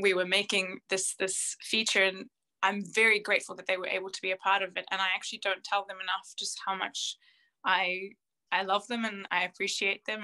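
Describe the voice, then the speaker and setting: The voice has a bright, sharp tone and monotone, flat intonation at a fairly quick pace. The sound is dry and close, with no echo, in a very clean recording with a silent background. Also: woman. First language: Arabic and French. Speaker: opera singer. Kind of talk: interview. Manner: halting.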